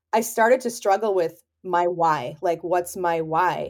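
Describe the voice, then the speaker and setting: Hers is an unremarkable speaking voice, a woman at medium pitch talking at a moderate pace. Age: 40s. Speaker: photographer. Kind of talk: casual chat.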